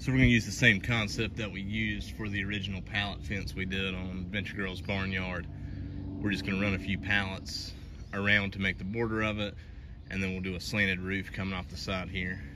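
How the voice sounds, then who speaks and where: Noticeable background noise sits under a man's very deep, low voice moving at a fairly quick pace. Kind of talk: casual vlog chat. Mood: relaxed, light joking. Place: garden. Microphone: phone near.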